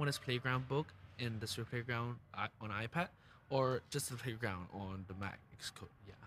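The man's tone is bright and sharp at a medium pitch. His pitch moves with ordinary variation. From Hong Kong. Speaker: student developer. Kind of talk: casual panel discussion. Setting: podcast studio at a conference. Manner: halting.

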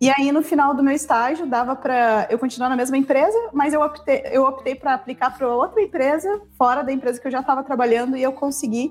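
A woman talks at a high pitch against noticeable background noise. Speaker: travel guest living abroad. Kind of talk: casual chat.

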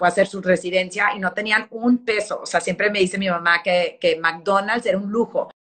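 This woman talks in a medium pitch with monotone, flat intonation. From Texas, El Paso. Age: 40s. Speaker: fashion magazine editor. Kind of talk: interview.

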